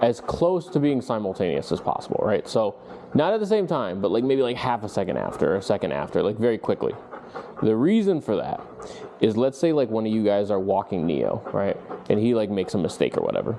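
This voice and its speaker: A man's animated, fairly quick delivery with very wide pitch swings, set against noticeable background noise. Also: medium pitch for a man. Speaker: dog trainer. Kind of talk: instructional session with clients. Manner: fast.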